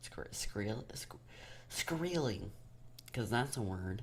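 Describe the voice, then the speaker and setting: In a room with audible echo, a man talks at a fairly slow pace and a fairly low pitch, his pitch swinging very widely. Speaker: gaming YouTuber. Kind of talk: gameplay commentary voiceover. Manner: casual, hesitant with fillers; loud and squealy when playing.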